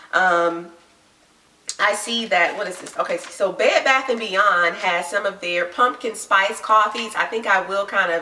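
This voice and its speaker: Amid noticeable background noise, a woman speaks at a fairly slow pace with a medium pitch and ordinary variation. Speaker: lifestyle vlogger. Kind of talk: casual vlog talk. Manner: casual, hesitant with fillers.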